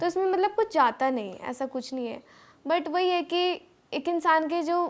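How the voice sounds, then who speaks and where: A woman speaks with ordinary pitch variation. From Baghpat, Uttar Pradesh. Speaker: singer. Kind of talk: interview answer.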